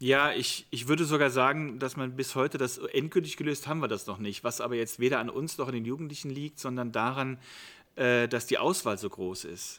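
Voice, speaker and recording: A man with a bright, sharp tone and ordinary pitch variation on a very clean recording with a silent background. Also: medium pitch for a man, fairly quick pace. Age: 50s. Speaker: youth worker. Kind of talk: interview. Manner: hesitant fillers.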